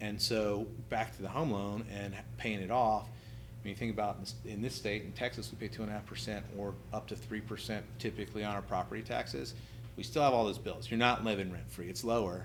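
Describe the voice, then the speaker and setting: Lively intonation and vocal fry from a man, fairly low in pitch and fairly quick in pace, with audible room echo. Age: 40s. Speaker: private real estate lender. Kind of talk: podcast interview.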